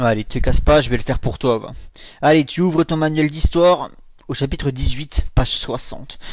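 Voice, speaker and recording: There is noticeable background noise as a man talks with very wide pitch swings. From Dijon, France. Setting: home recording. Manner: animated, loud, swearing.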